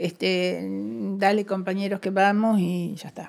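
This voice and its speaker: A woman speaks at a medium pitch. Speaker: former political prisoner. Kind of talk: interview testimony.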